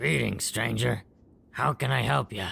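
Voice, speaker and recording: A man performs a raspy, put-on character voice with a very deep, low pitch. His pitch swings very widely at a moderate pace. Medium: machinima. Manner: folksy, easygoing.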